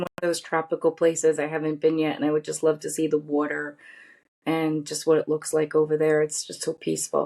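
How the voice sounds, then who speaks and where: A woman speaks in a very deep, low pitch with a dark, mellow tone. Her delivery is monotone and flat at a fairly quick pace. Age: 50s. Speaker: podcast guest, pharmaceutical industry cytogeneticist. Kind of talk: interview conversation.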